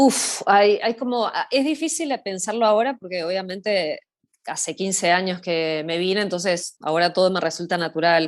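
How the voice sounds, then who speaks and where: The woman's voice sits at a medium pitch and moves at a moderate pace. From Argentina, Buenos Aires city. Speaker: social media content creator, hiker. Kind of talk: casual interview. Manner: hesitant, many fillers and repetitions.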